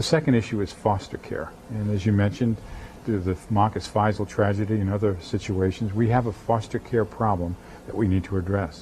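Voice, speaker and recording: Amid noticeable background noise, a man with a fairly low pitch talks at a fairly quick pace with fairly even intonation. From New England, Boston area. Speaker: pastor. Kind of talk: TV interview.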